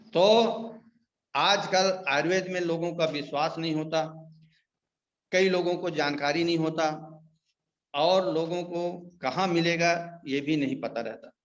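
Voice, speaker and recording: A man with a high pitch speaks with fairly even intonation over audible room echo. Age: 70s. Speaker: ayurvedic product distributor. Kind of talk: sales pitch.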